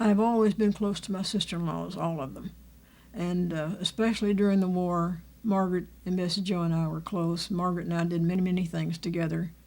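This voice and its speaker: In a Texan accent, a woman speaks at a fairly low pitch with a dark, mellow tone. Her pace is fairly quick and her intonation fairly even. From Texas, Fort Worth. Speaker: family elder. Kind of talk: oral history interview. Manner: halting.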